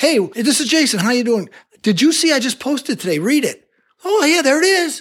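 This man's voice is extremely high and moves in very wide pitch swings. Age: 60s. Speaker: LinkedIn trainer. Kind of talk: interview.

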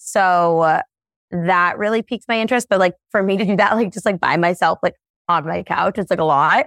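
Fairly quick and dry, close with no echo, a woman delivers a normal speaking voice at medium pitch with ordinary pitch variation. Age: 20s. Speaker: social media content creator. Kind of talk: casual chat. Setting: video call.

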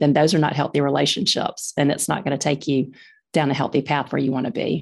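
A woman with a Southern US accent speaks at a fairly quick pace in a very deep, low pitch with vocal fry. The background is quiet. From Birmingham, Alabama, US South. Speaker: author and mom of four girls. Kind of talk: casual interview chat.

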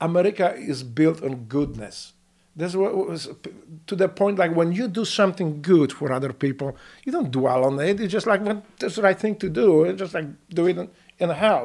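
In a very clean recording with a silent background, a man with a Polish accent speaks at a moderate pace, with high pitch and lively intonation. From Poland. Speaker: war veteran. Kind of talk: casual chat. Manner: halting.

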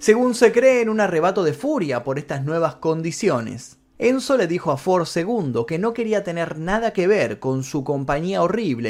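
A man's high-pitched voice at a moderate pace, with very wide pitch swings and hardly any pauses. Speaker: narrator. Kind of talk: documentary narration. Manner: dramatic, storytelling; steady, measured, explanatory.

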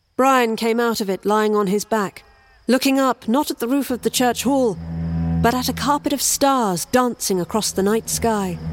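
A woman speaks at a moderate pace with a fairly high pitch and ordinary pitch variation. Music plays in the background. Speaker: story narrator. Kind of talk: scripted horror narration.

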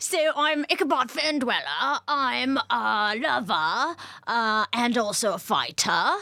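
In a put-on character voice, a female-sounding speaker talks fairly slowly at a high pitch for a woman. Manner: surly, bravado.

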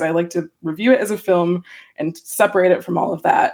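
Talking at a fairly quick pace, a woman has an ordinary speaking voice with a fairly low pitch. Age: 30s. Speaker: film critic. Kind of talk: casual chat.

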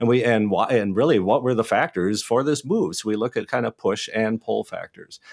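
In an unremarkable speaking voice, a man talks at a fairly quick pace with hardly any pauses, at a medium pitch and with ordinary pitch variation, in a dry, close sound with no echo on a very clean recording with a silent background. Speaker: rural sociologist. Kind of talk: radio interview.

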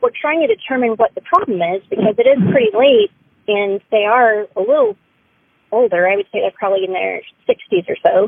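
Using a normal speaking voice, a woman talks at a fairly high pitch and a fairly quick pace. Her intonation is lively. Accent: American. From Austin, Texas. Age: 30s. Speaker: storyteller. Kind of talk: testimony.

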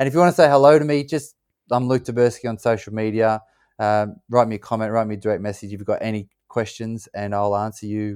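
A man with an Australian accent at a very fast pace, in a very clean recording with a silent background. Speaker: former pro soccer player and ultra-endurance athlete. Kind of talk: interview conversation.

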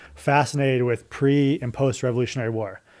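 Dark, mellow male voice with an American accent and fairly even intonation. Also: very clean recording, silent background. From Colorado. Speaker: restaurant company executive. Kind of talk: casual interview.

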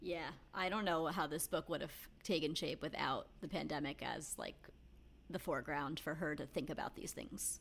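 The intonation is fairly even. The pace is moderate. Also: woman, very deep, low pitch for a woman. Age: 30s. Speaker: podcast co-host. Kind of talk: casual chat.

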